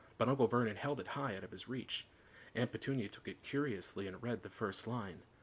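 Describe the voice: Someone is doing plain reading aloud. Their pitch varies in an ordinary way.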